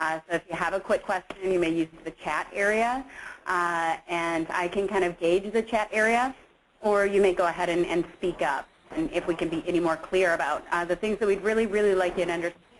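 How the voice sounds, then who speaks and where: A woman talks fairly quickly, her medium pitch rising and falling in an ordinary way. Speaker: energy work coach. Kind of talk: webinar presentation. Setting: conference call. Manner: fast.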